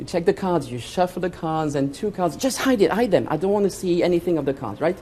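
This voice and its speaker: An animated man with a French accent, ordinary pitch variation and a fairly quick pace, over noticeable background noise. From France. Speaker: magician. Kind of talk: stage magic performance. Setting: stage with audience.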